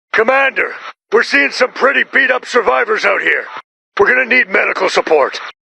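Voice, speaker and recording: A man puts on a character voice pitched extremely high. He talks at a fairly quick pace. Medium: machinima.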